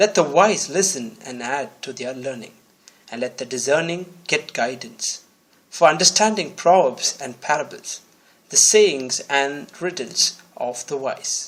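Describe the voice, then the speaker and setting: A man with an unremarkable speaking voice talks at a fairly slow pace and fairly high pitch. His intonation is lively and his loudness swings widely. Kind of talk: Bible reading.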